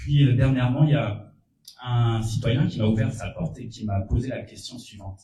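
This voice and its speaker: Somewhat breathy, with a dark, mellow tone, a man talks at a medium pitch and a fairly slow pace. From France. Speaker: municipal council candidate. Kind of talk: candidate presentation at public electoral meeting. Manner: hesitant, many filler sounds.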